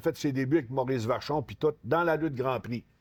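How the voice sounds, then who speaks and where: A man's medium-pitched voice at a fairly quick pace, with ordinary pitch variation, in a very clean recording with a silent background. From Quebec, Saguenay–Lac-Saint-Jean. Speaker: retired professional wrestler. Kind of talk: casual interview. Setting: store.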